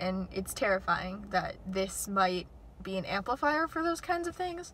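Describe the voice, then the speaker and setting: A woman speaks at a moderate pace in a shaky voice. Noticeable background noise runs underneath. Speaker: YouTuber. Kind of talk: casual vlog. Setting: outdoors near airport.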